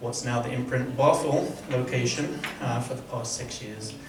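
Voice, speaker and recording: Over noticeable background noise and audible room echo, a man speaks at medium pitch and a moderate pace. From southern England, near Brighton. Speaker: church elder. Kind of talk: casual self-introduction at meeting.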